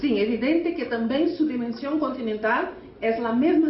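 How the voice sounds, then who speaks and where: A woman's high, lively-toned voice at a fairly slow pace, with audible room echo and noticeable background noise. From Brazil. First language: Portuguese (speaking Spanish). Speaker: teachers' union leader. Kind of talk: conference speech. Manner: halting, with self-corrections.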